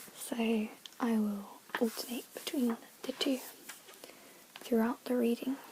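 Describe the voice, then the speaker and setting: Over noticeable background noise, a soft-spoken woman whispers at a fairly slow pace with long, frequent pauses. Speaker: ASMR creator. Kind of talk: ASMR reading aloud. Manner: whispered and soft-spoken.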